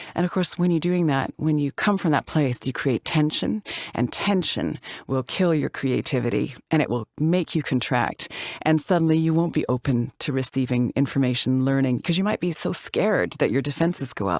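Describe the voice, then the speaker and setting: In a Canadian accent, a woman with a very deep, low pitch speaks at a moderate pace with lively intonation and very even loudness, the sound dry and close with no echo on a very clean recording over a silent background. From Canada, Calgary, Alberta. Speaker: actor. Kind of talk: interview. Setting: podcast.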